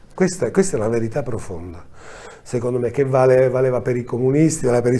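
A man's dark, mellow tone. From Calabria, Italy. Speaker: film director; guest. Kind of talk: interview. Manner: hesitant, with frequent fillers. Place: studio.

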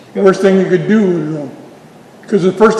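A man with a high-pitched voice talks at a very fast pace, with noticeable background noise and audible room echo. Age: 80s+. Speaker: Bigfoot researcher and speaker. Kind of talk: town hall Q&A.

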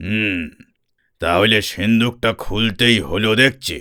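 In a put-on character voice, a man growls very slowly at a fairly low pitch with ordinary pitch variation. The recording is very clean and the background silent. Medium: read story. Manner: slow, deliberate.

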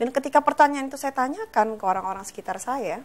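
A woman talks at a very fast pace. Her pitch is high. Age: 30s. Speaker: author, TV guest; TV guest. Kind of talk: personal story in interview. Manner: casual, hesitant with many fillers. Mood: reflective, personal story. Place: studio.

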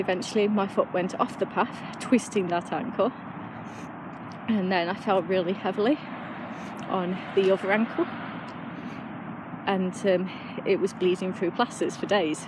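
A woman speaks with long, frequent pauses, in dry sound with no echo and noticeable background noise. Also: moderate pace. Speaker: runner vlogger. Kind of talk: casual vlog chat. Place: street. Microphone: earbuds.

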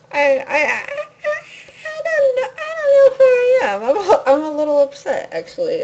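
The speaker mumbles at a fairly slow pace. Noticeable background noise is present. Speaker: video game streamer. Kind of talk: casual live-stream commentary. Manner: mumbling.

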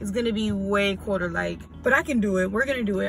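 The speaker talks at a very fast pace in a dry sound with no echo, over noticeable background noise. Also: woman. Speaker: vlogger. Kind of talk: casual vlog chat. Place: car. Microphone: phone near.

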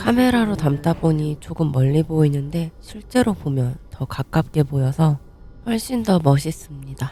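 Pitched very deep and low, a woman talks fairly slowly. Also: lively intonation. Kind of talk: travel vlog voiceover narration.

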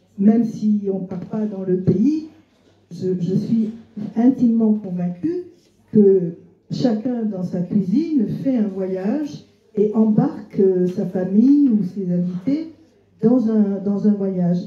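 A woman speaks at a very slow pace with long, frequent pauses, and the room echo is audible. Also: medium pitch for a woman, ordinary pitch variation. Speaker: cookbook author; guest. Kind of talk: literary talk before an audience. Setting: restaurant with live audience. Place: shop.

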